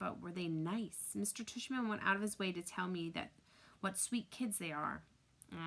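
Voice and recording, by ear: Natural-voiced reading aloud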